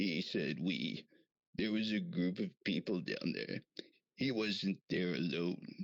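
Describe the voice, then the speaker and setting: A man's put-on character voice, fairly low-pitched, at a fairly slow pace. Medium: audio drama. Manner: exasperated.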